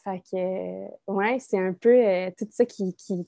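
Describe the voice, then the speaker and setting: A woman with a Quebec accent, very slow, medium-pitched and fairly even in intonation, dark and mellow in tone, dry and close with no echo over a quiet background. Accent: Québécois French. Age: 20s. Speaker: young mother, former daycare educator. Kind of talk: casual interview chat.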